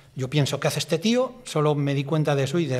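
Fairly quick and fairly even in intonation, a man speaks. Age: 60s. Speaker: bus driver; interviewee. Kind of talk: interview testimony. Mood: reflective, recounting accident. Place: studio. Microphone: studio mic.

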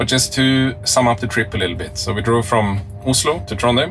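At a fairly quick pace and with ordinary pitch variation, a man talks over clear music in the background. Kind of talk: casual vlog chat. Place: car. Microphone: phone near.

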